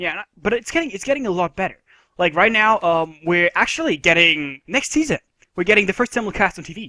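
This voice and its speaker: A man with a high pitch and a bright, sharp tone projects a raised voice at a fairly quick pace, his intonation lively and the sound dry and close with no echo. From Germany. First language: German. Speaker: anime podcast host. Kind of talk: casual chat.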